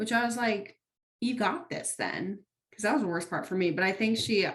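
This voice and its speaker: A woman's somewhat breathy voice, fairly high in pitch, with ordinary pitch variation and a fairly quick pace. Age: 20s. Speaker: podcast co-host. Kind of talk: casual chat.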